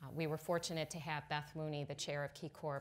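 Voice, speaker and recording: A woman with a very deep, low voice. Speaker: panelist. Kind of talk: panel talk. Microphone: lapel.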